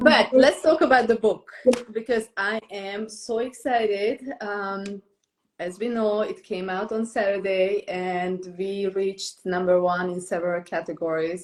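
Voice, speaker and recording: A woman speaks with a non-native accent at a medium pitch. Her pace is fairly slow, with ordinary pitch variation. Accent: foreign. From Romania, Transylvania. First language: Romanian. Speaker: book editor and podcast host. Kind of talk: interview.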